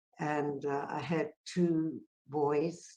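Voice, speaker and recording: This is a woman's voice. Her pitch is very deep and low. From South Africa. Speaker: peace activist. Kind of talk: conference talk.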